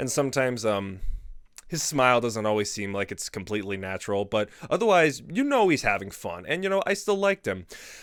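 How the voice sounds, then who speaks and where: A man at a fairly quick pace, in a very clean recording against a silent background. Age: 20s. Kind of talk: casual talk to camera.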